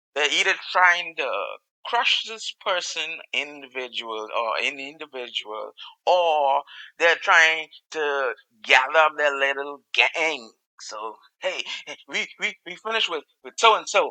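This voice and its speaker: A man with a Caribbean accent speaks at a fairly slow pace in a fairly high pitch and a bright, sharp tone. His pitch swings very widely and his loudness rises and falls a lot. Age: middle-aged. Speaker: podcast host. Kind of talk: solo podcast commentary. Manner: halting, many fillers and repetitions.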